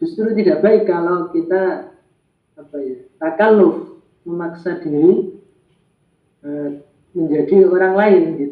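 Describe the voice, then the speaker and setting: Long, frequent pauses break up fairly slow speech that has ordinary pitch variation. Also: man. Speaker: Arabic language teacher. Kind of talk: online class discussion. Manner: hesitant with fillers.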